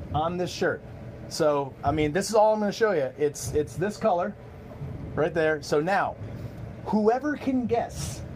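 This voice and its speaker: Very wide pitch swings mark a man's high voice as he talks at a fairly slow pace. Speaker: bowling pro shop owner and livestream host. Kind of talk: casual livestream chat. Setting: live video stream in a bowling shop. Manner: halting, many repeated words.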